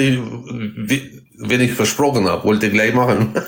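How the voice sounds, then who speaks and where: A man's medium-pitched voice with audible room echo and noticeable background noise. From Kazakhstan. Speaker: bus driver. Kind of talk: casual chat.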